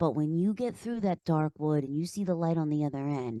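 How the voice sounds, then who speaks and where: A woman with an American accent talks at a fairly quick pace, her very deep, low pitch paired with a dark, mellow tone and lively intonation. The sound is dry and close with no echo, against a quiet background. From Pennsylvania, Philadelphia area. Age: 30s. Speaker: life coach. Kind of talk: podcast interview. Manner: animated.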